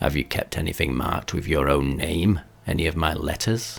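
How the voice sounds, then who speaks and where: In a put-on character voice, a man growls at a moderate pace, his pitch very deep and low and his loudness very even. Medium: read story. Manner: authoritative, commanding.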